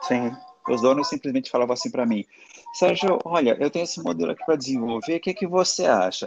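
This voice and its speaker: Over music in the background, a man talks at a very fast pace in a dry, close sound with no echo. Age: 40s. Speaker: confectioner, former fashion worker. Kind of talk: casual interview chat. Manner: animated.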